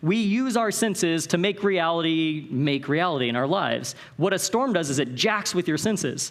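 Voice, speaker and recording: A man with a West Coast US accent speaks in an animated tone. His fairly high voice has lively intonation. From Northern California. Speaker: conference speaker. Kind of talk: motivational talk. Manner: fast.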